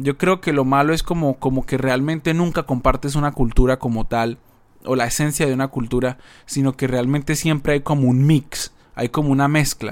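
A fairly high-pitched man with a normal speaking voice, fairly even intonation and a moderate pace. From Colombia. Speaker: podcast co-host. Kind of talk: casual chat.

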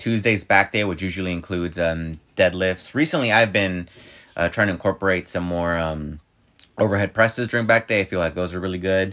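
Bright and sharp in tone, a man's very deep, low voice moves at a fairly quick pace with ordinary pitch variation. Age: 30s. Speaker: podcast host. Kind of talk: casual chat.

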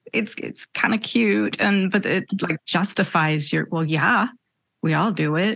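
Her voice fairly low and marked by vocal fry, a woman speaks at a fairly slow pace with lively intonation. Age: 50s. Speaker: life coach. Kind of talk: casual chat.

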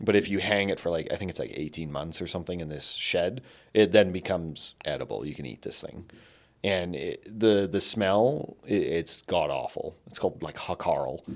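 With a Canadian accent and a plain, everyday voice, a man speaks at a moderate pace and a fairly low pitch, with ordinary pitch variation. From Canada. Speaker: spice merchant and traveler. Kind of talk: casual chat.

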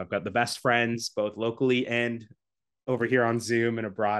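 Against a quiet background, a man with a Canadian accent talks in an energetic tone at a medium pitch. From Canada. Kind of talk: casual interview chat. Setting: video call.

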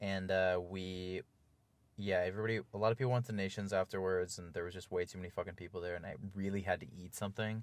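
On a very clean recording with a silent background, a man speaks very fast in a very deep, low voice with fairly even intonation. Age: 20s. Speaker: friend of the host. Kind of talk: casual chat.

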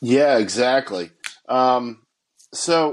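With an unremarkable speaking voice, a man talks at a medium pitch and ordinary pitch variation. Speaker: podcast host. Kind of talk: casual chat.

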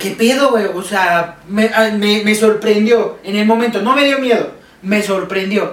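Over noticeable background noise and audible room echo, a man speaks at a fairly slow pace with a high pitch and ordinary pitch variation. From Mexico. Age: 20s. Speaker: podcast guest, friend of host. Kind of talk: casual chat.

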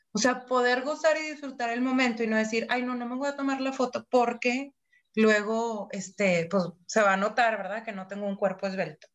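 The speaker has a Mexican accent and ordinary pitch variation. The pace is moderate. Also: woman, fairly high pitch for a woman. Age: 40s. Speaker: podcast co-host. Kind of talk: casual chat.

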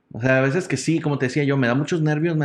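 Against a quiet background, a man speaks very fast at a fairly high pitch. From Mexico, Nuevo León (Monterrey area). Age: 30s. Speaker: comedian and entertainer. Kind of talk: casual interview chat.

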